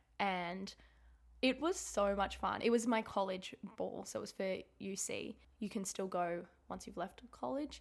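Speaking at a fairly slow pace with an Australian accent, a woman uses a medium pitch, ordinary pitch variation and vocal fry. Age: 20s. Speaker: podcast host, university student. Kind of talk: casual solo chat.

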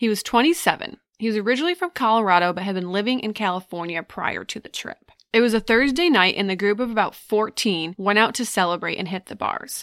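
Talking very fast with lively intonation, a woman with a fairly high pitch comes through on a very clean recording over a silent background. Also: hardly any pauses, dry, close sound with no echo. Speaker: podcast host. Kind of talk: casual chat.

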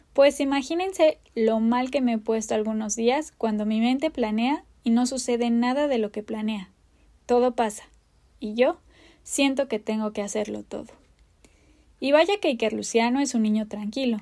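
A woman speaks in a fairly high pitch with ordinary pitch variation. Her tone is dark and mellow. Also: moderate pace. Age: 30s. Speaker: podcast host, new mother. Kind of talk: personal monologue.

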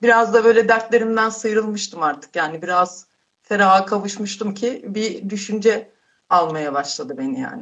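A woman speaks with an unremarkable speaking voice at a medium pitch. Her pitch varies in an ordinary way, and her pace is moderate. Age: 30s. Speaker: charity volunteer. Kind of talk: casual chat.

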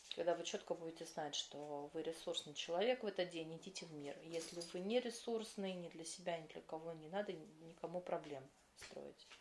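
Speaking at a moderate pace, a woman with a plain, everyday voice and fairly low pitch shows ordinary pitch variation and big swings in loudness. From Russia, Krasnoyarsk. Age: 30s. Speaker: podcast host, feng shui coach. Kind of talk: spontaneous monologue.

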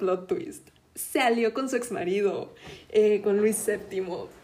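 A woman with a fairly high pitch talks at a fairly slow pace against noticeable background noise. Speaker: podcast host. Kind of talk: casual monologue; history storytelling. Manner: halting.

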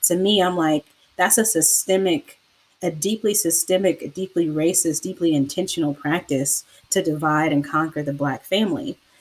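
A woman speaks at a moderate pace with an ordinary speaking voice. Her pitch is fairly low, with ordinary pitch variation and very even loudness. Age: 30s. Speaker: podcast host. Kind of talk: casual chat.

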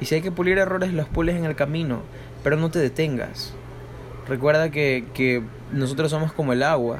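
A man's fairly high voice at a moderate pace, with ordinary pitch variation, long, frequent pauses and noticeable background noise. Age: 20s. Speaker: amateur trader and podcaster. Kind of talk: spontaneous motivational monologue. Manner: animated.

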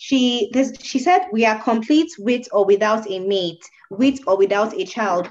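Speaking at a fairly slow pace, a woman uses a fairly high pitch and lively intonation. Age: 20s. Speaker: host's friend. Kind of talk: casual chat.

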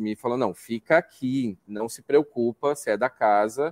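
There's a dark, mellow tone to this man's voice. He speaks at a moderate pace in a dry, close sound with no echo. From Brazil, São Paulo. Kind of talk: casual interview chat.

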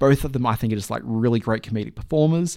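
A man speaks with an Australian accent. His medium-pitched voice has a dark, mellow tone. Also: very clean recording, silent background. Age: 30s. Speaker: podcast host. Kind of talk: casual chat.

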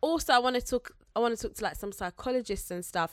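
With a London accent, a woman is heard on a very clean recording with a silent background and a dry, close sound with no echo. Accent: British English (London). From Zambia. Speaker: podcaster and social media strategist. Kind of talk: casual chat.

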